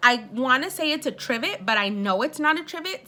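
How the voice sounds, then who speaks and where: A woman speaks at a moderate pace in a Spanish accent. Her voice is high-pitched with a bright, sharp tone and lively intonation. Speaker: beauty vlogger. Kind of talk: casual unboxing vlog. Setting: at home. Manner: animated.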